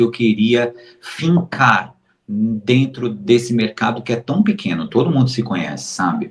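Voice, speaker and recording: The man's medium-pitched voice has a somewhat breathy quality. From Brazil, Recife (Pernambuco). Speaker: modeling agency booker. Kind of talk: interview. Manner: slow, measured; deliberate, clearly explained.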